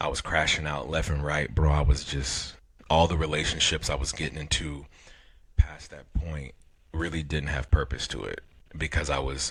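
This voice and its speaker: A man's very deep, low voice stays monotone and flat, with vocal fry running through it. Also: moderate pace. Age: 40s. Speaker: podcast co-host. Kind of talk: casual chat. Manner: halting.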